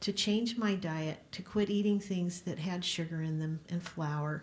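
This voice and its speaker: A woman talks at a fairly slow pace and a medium pitch. Her voice is somewhat breathy. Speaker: company CEO and speaker. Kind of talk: speech at a press event. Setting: press club room with audience.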